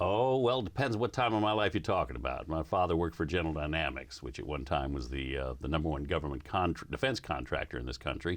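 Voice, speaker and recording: A man with an American accent and a very deep, low pitch races at a very fast pace with hardly any pauses, showing vocal fry and very wide pitch swings. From US South and other US regions. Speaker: radio co-host. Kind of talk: casual interview.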